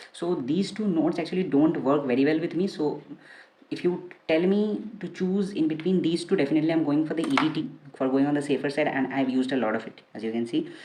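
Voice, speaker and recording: Over noticeable background noise and audible room echo, a woman talks at a very fast pace with a very deep, low pitch. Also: ordinary pitch variation. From India, Kolkata. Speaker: fragrance reviewer. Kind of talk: product review. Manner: casual, with many fillers.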